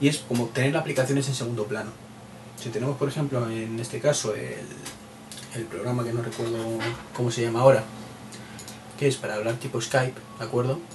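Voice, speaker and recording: A man with a Madrid accent at medium pitch, fairly quick pace, fairly even intonation, long and frequent pauses, and noticeable background noise. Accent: Castilian Spanish (Madrid). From Spain, Madrid. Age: 30s. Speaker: tech podcaster. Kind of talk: solo podcast monologue. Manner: hesitant, many repeated words; casual, chatty.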